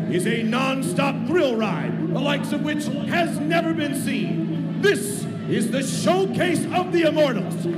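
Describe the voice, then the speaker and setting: Over loud background noise, a man speaks at a very slow pace. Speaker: stadium announcer. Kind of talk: sports ring announcer intro, live stadium hype. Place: stadium. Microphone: handheld.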